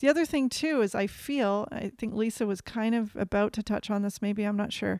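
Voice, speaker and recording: In a plain, everyday voice, a woman talks at a fairly quick pace with fairly high pitch and ordinary pitch variation, recorded very cleanly with a silent background and a dry, close sound with no echo. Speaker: podcast co-host. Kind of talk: casual chat. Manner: rambling, reflective.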